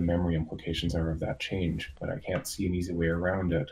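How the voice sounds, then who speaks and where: This man's very deep, low voice has a dark, mellow tone and is somewhat breathy. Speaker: software developer. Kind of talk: casual meeting update.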